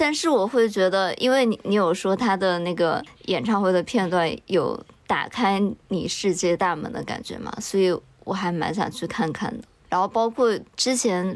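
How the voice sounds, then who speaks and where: In a normal speaking voice, a woman of medium pitch talks at a moderate pace with lively intonation. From Chengdu, Sichuan, China. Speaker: podcast co-host appearing as guest. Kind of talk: casual chat.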